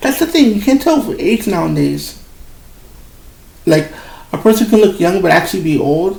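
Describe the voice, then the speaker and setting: Man's high-pitched voice with very wide pitch swings at a moderate pace, amid noticeable background noise. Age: 30s. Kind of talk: casual talk while drawing. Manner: halting, with many repeated words.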